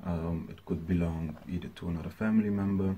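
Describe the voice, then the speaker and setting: The speech moves at a moderate pace with light background noise. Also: man. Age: 20s. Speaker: smallholder farmer. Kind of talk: prepared statement to camera. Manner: hesitant, many fillers. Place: home room. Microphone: webcam.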